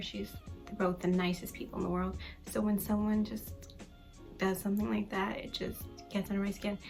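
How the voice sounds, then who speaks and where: A woman at a moderate pace with long, frequent pauses, music in the background. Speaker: youtuber / vlogger. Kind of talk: casual talk to camera. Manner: soft, sometimes whispery.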